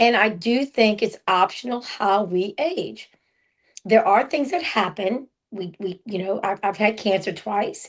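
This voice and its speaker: A woman talks at a fairly slow pace in a normal speaking voice. Her pitch variation is ordinary. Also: fairly high pitch for a woman. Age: 60s. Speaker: podcast co-host. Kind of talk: casual chat.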